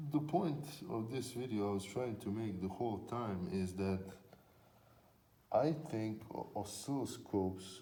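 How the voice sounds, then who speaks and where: Audible room echo surrounds the voice. A man speaks at a very slow pace. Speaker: electronics repair technician. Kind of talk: casual tutorial vlog. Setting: unheated workshop. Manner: hesitant, many fillers.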